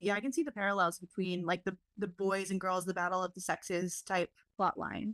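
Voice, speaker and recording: A woman's normal speaking voice, fairly quick and fairly even, at medium pitch, with a dry, close sound and no echo. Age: 20s. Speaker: podcast host. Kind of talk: casual chat. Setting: video call.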